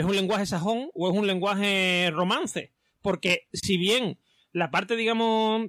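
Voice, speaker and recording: A man speaks in a bright, sharp tone at a high pitch. His pitch varies in an ordinary way. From Spain, Seville. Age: 40s. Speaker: podcast host. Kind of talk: casual chat.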